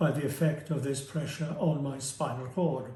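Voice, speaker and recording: At a moderate pace, a somewhat breathy voice with a dark, mellow tone speaks in monotone, flat intonation amid audible room echo. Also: man. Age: 70s. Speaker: surgery patient. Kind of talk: testimony. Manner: halting.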